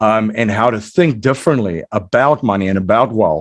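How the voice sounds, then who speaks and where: Against a quiet background, a man with a South African accent speaks at a moderate pace with lively intonation. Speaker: entrepreneur and investor, podcast host. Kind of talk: interview. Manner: many fillers and repetitions.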